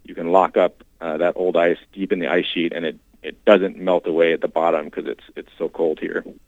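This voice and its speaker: Speaking fairly quickly with hardly any pauses, a man with an American accent shows big swings in loudness. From Washington State. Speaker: glaciologist and climate scientist. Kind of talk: interview.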